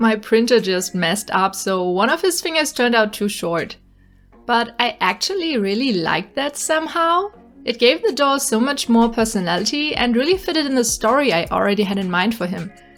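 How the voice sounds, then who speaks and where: Fairly high and fast-moving, a woman's voice swings very widely in pitch over background music. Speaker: doll customizer and YouTuber. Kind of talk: tutorial narration.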